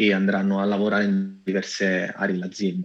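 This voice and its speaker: Speaking with fairly even intonation, a man uses a plain, everyday voice at a fairly low pitch. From Italy, Cassino (Lazio). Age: 30s. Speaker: AI director and data scientist. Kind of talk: interview.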